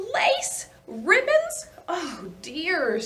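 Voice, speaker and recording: Putting on a character voice, a woman pitches it extremely high. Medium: read story. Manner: flustered, exasperated.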